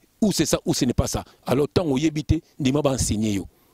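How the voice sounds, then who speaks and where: Over a quiet background, a man speaks at a fairly high pitch and a moderate pace with very wide pitch swings, the sound dry with no echo. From France, Lille, Congolese family; France. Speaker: preacher. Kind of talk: sermon. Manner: animated. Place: garden. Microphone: handheld.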